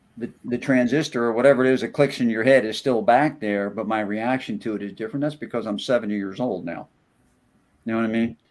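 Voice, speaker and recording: The man rushes along at a very fast pace, his intonation fairly even. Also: medium pitch for a man. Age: 70s. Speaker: radio show co-host. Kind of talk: casual chat.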